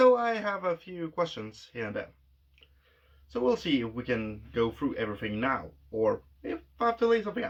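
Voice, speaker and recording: A man with a non-native accent speaks at a moderate pace, his pitch swinging very widely. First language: not English. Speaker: vlogger. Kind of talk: casual monologue.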